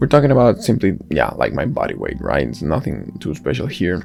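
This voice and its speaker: A man speaks with a non-native accent and very wide pitch swings. Noticeable background noise can be heard. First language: not English. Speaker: software developer. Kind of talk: software demo walkthrough. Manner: halting, many fillers.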